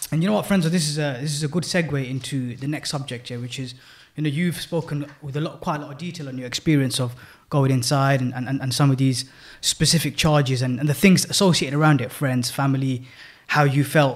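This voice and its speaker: A man with a London accent talks at a very fast pace. His voice is somewhat breathy and fairly high-pitched. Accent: British urban, London. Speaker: podcast co-host. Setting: sharing a mic in studio.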